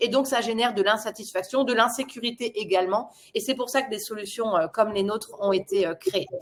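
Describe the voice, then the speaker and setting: A woman speaks in a normal speaking voice at a fairly high pitch. Her pitch varies in an ordinary way, and her pace is fairly quick. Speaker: product presenter. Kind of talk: webinar presentation. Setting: online webinar.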